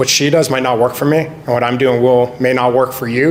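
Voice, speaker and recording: A man with a Canadian accent talks at a fairly quick pace over noticeable background noise. His medium-pitched voice stays monotone and flat. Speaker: real estate agent. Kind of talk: panel discussion. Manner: loud.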